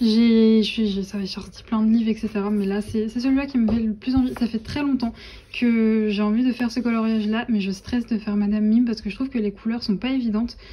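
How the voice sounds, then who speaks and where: Over noticeable background noise, a woman talks at a fairly quick pace in a fairly high pitch with fairly even intonation. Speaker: vlogger. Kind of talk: casual vlog chat. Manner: hesitant, many fillers.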